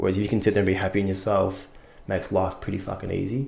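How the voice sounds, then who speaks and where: With an Australian accent, a man talks at a very fast pace, his fairly low voice somewhat breathy. Room echo is audible. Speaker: actor. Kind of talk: casual chat.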